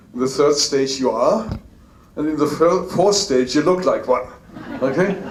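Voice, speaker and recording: Noticeable background noise and audible room echo surround the voice. The pace is fairly slow, with ordinary pitch variation. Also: man. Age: 60s. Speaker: business speaker. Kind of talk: motivational talk. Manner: halting.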